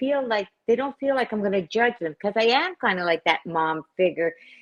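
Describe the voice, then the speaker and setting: In an ordinary speaking voice, a woman speaks at medium pitch and a moderate pace with lively intonation. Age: 60s. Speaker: recovery platform founder and social media influencer. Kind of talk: casual interview chat.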